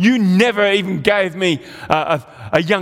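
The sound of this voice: The pitch moves in a normal way. It is an unforced reading voice.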